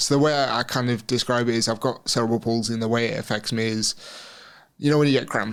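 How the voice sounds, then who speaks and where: Very fast and with fairly even intonation, a man talks in a medium pitch with a West Midlands accent. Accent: English West Midlands accent, noticeable. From England, Shropshire (West Midlands). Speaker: Paralympic wheelchair racer. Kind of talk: interview conversation. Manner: casual, with many fillers and repetitions.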